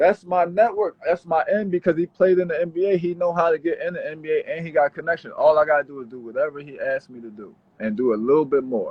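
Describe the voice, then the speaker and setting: With hardly any pauses, the voice races at a very fast pace, showing ordinary pitch variation and big swings in loudness. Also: man, high pitch for a man. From Philadelphia, US. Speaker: pro basketball player. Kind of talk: casual chat.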